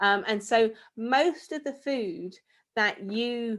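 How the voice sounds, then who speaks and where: On a very clean recording with a silent background, a woman with a British accent speaks at a fairly high pitch with ordinary pitch variation. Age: 30s. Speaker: space expert and author. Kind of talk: talk to children.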